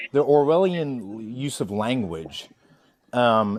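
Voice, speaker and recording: With noticeable background noise, a man speaks with lively intonation. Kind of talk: heated debate. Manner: loud.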